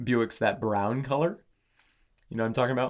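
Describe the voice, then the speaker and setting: At a fairly quick pace, a man speaks at medium pitch. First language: not English. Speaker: podcast co-host. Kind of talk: casual chat. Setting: studio.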